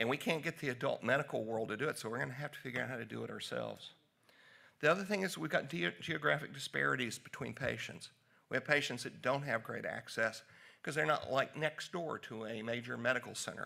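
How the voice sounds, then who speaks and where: A man speaks with a Southern US accent. His pace is fairly quick. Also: quiet background. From US South, Tennessee. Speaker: physician; presenter. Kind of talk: conference talk. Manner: casual. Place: hall.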